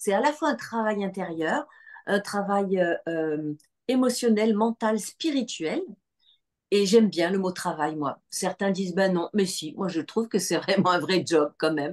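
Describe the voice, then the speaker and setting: With lively intonation, a woman talks fairly slowly at a medium pitch. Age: 60s. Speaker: spiritual retreat leader. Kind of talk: online information session. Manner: hesitant, many fillers.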